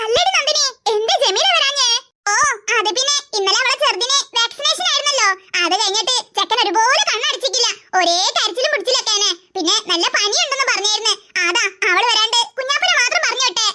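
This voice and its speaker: A cartoonish character voice at an extremely high pitch and a moderate pace. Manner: chatty, gossipy.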